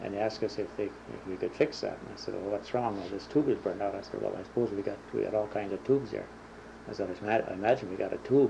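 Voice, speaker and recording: Talking at a very fast pace in an Upper Midwest accent, a man has a fairly low pitch, a dark, mellow tone, a somewhat breathy quality and fairly even intonation. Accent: Upper Midwest American. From Minnesota. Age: 60s. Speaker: war veteran. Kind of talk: oral history interview. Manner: halting.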